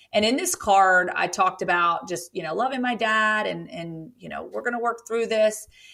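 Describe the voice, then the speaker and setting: A woman with a Southern US accent and an animated tone, at a fairly quick pace with ordinary pitch variation, in a very clean recording with a silent background. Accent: Southern US, says y'all. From rural Virginia (Roanoke). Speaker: author and grief storyteller. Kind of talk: podcast interview, personal testimony. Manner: animated, with frequent fillers and restarts.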